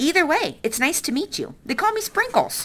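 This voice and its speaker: Squeaky put-on character voice, moderately paced. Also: female-sounding voice. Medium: read story. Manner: friendly, enthusiastic.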